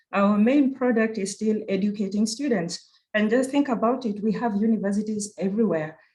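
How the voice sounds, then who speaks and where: In a Kenyan accent, a woman speaks at a fairly quick pace with a medium pitch and a somewhat breathy voice. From Kenya (Nairobi). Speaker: university research director. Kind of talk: conference presentation. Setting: virtual conference.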